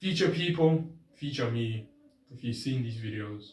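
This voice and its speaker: With ordinary pitch variation, the speaking voice comes across as somewhat breathy. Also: man. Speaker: vlogger. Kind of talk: casual vlog monologue. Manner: pitch goes up and down; mumbling.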